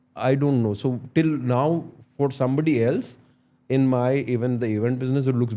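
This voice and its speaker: A man with an Indian accent, his dark, mellow tone at medium pitch, at a very fast pace. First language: Tulu. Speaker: entrepreneur and podcaster. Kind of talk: interview, Hindi-English code-switching.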